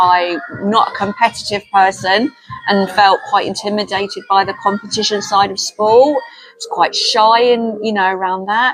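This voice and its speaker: The speaker has a London accent. The pace is moderate and the intonation fairly even. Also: woman, medium pitch for a woman. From North London. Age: 60s. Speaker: community worker. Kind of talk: casual chat.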